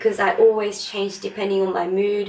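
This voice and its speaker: Noticeable background noise around a woman's voice at medium pitch. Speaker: beauty vlogger; teacher. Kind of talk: makeup tutorial talk to camera.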